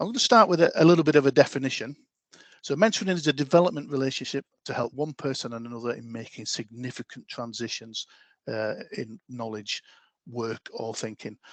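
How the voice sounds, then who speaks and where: Over a quiet background, a man with a Yorkshire accent talks at a fairly quick pace and medium pitch, with lively intonation, big swings in loudness, and a dry, close sound with no echo. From Yorkshire, northern England. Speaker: talent development lead. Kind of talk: online presentation.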